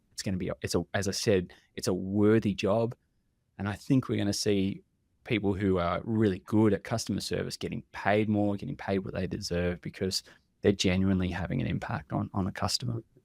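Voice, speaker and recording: Speaking at a fairly quick pace, a man with an Australian accent uses a fairly low pitch, recorded very cleanly with a silent background and a dry, close sound with no echo. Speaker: contact center industry expert. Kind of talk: podcast interview. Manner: animated; halting.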